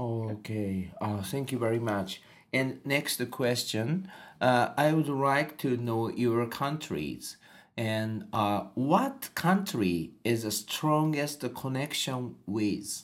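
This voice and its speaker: Very slow speech in a Japanese accent, in a very clean recording with a silent background. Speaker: podcast host, English learner. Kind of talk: casual interview chat. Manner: halting.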